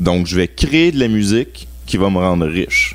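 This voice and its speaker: At a moderate pace, a man with a Quebec accent speaks in a very deep, low pitch. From Quebec (Laval, Montreal suburbs). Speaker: music marketing specialist. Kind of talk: radio interview.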